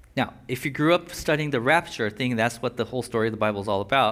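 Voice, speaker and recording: A man talking at a very fast pace. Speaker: pastor. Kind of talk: sermon. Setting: church. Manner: fast talker.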